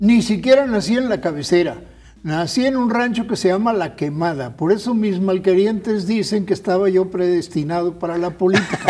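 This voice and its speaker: Using ordinary pitch variation, a man with a high pitch speaks at a moderate pace. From Guanajuato, Mexico, raised in Basque Country. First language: Basque (speaking Spanish). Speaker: politician and academic. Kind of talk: interview.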